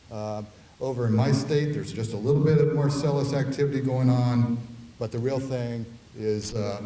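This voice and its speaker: A man with a Midwestern US accent talks at a moderate pace and medium pitch, with ordinary pitch variation. Noticeable background noise and audible room echo are present. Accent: US Midwest. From Ohio. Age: 60s. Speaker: oil and gas industry advocate. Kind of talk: conference talk. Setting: conference hall with audience. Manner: hesitant with frequent uh fillers.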